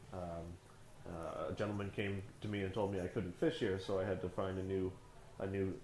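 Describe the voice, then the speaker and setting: In a room with audible echo, a man speaks at a moderate pace. His voice is somewhat breathy and fairly low in pitch. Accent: strong Canadian. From Canada. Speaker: comic book artist. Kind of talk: storytelling interview.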